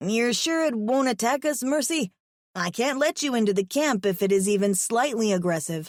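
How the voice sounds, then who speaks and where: A put-on character voice, female-sounding and fairly high in pitch, at a moderate pace in a very clean recording with a silent background. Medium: read story. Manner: cautious, nervous.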